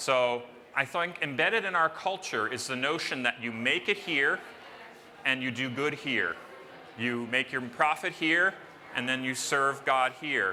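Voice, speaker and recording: Fairly high in pitch, the man's voice unfolds at a fairly slow pace. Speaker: panel moderator. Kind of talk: conference panel introduction. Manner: loud.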